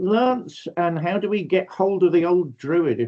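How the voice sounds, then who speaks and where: This is a man speaking. His pitch sits high. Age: 60s. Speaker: podcast host and priest. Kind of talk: podcast interview sign-off. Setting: video call. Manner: warm, effusive.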